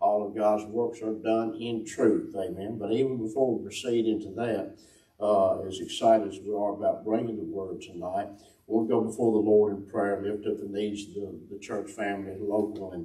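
With audible room echo but a quiet background, a somewhat breathy man talks at a moderate pace with fairly even intonation. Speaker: host of a church broadcast. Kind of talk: opening remarks and prayer. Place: church.

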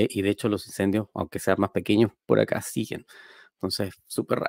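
A man's fairly low, vocal-fry voice at a fairly quick pace, with fairly even intonation, a dry sound with no echo and a quiet background. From Chile, Quilpué (Valparaíso region); Valparaíso region, Chile. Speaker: software engineer and programming teacher; programming teacher. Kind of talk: tech conference talk. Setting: streamed talk. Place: home room. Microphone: headset.

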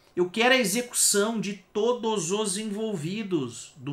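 In a Brazilian accent, the speaker's raised, projected voice carries an angry tone at a fairly slow pace with ordinary pitch variation. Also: man. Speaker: video host reacting to videos. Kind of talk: angry rant, ranting at the state. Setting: reaction stream, watching a video. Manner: angry, vehement, heated, cursing; loud, emphatic, exasperated. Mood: indignant, exasperated. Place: home room.

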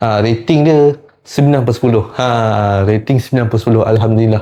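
Here a man speaks at a medium pitch with ordinary pitch variation. His tone is dark and mellow. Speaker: film diploma student. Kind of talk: spoken presentation. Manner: hesitant, many fillers.

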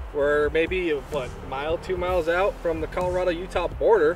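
Against clear music in the background, a man with a high-pitched voice speaks in a dry sound with no echo. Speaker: overland trip vlogger. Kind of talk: casual vlog chat. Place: forest.

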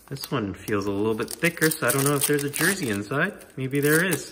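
Someone talks fairly quickly while noticeable background noise carries on underneath. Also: man. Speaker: hockey card YouTuber. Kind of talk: card break commentary. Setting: new home, unfurnished room. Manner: casual. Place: home room. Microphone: room echo; phone near.

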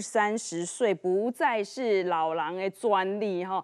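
The background stays quiet while a woman talks. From Taiwan. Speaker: TV show host. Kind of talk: TV cooking and health show hosting. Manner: animated. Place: studio. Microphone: lapel.

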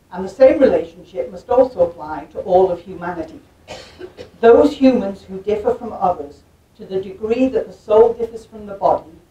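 At a moderate speed, a woman talks. Her voice carries audible room echo. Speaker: visiting lecturer. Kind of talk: lecture. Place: hall.

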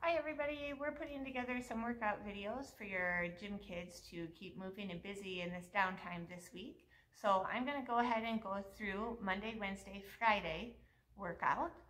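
Lively intonation and big swings in loudness mark this woman's moderate-paced speech. Light background noise runs underneath. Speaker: gym coach. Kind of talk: workout instruction. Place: gym. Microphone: camera far.

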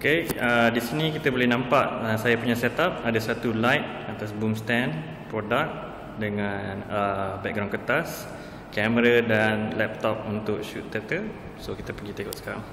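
A man speaks at a fairly slow pace, medium in pitch with ordinary pitch variation. Noticeable background noise and audible room echo are present. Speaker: advertising photographer. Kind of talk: tutorial. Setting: photo studio. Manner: hesitant, many fillers.

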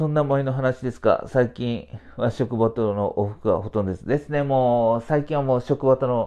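Against a quiet background, a man speaks at medium pitch with a dark, mellow tone. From Kumamoto, Japan (Hitoyoshi); Kumamoto. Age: 40s. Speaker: supermarket IT manager and livestreamer; livestreamer. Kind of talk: casual livestream chat. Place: home room. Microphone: lapel.

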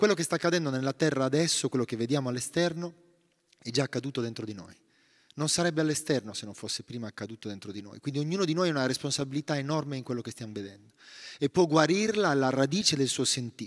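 A man's very fast, fairly high-pitched speech with lively intonation and big swings in loudness, over a quiet background. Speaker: meditation teacher and author; guest. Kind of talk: talk on forgiveness at a retreat. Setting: monastery gathering with audience. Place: church. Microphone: initially too quiet; handheld.

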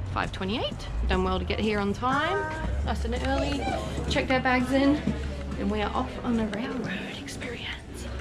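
Over clear background music, a woman speaks at a moderate pace with long, frequent pauses. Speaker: family vlogger. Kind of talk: casual vlog chat. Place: street. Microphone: phone near.

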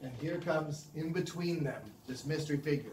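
A man speaks with an American accent at a moderate pace. There is audible room echo and light background noise. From Southern California, San Diego; California. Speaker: animation director; guest. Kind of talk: lecture. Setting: studio. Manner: animated. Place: studio. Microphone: handheld.

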